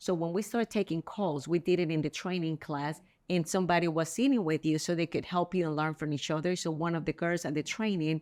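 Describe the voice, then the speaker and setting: A woman with a strong Spanish accent speaks at a fairly quick pace in a fairly low pitch with ordinary pitch variation. The sound is dry and close with no echo, on a very clean recording with a silent background. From El Salvador. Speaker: real estate agent. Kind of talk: interview.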